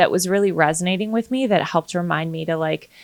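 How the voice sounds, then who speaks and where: A woman with a plain, everyday voice speaks at a fairly low pitch with ordinary pitch variation, in a dry, close sound with no echo. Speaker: real estate agent and podcast host. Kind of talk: casual chat.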